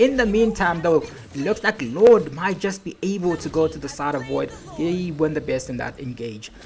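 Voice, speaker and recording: Over noticeable background noise, a woman with a non-native accent speaks in an animated tone at a moderate pace, her fairly low voice making very wide pitch swings. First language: not English. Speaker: esports caster. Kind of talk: live commentary.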